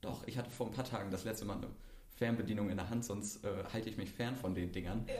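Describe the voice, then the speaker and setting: Speaking at a very fast pace, a man with a fairly low pitch and fairly even intonation is heard through audible room echo and noticeable background noise. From Mecklenburg-Vorpommern, Germany. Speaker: podcast host. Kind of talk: casual chat.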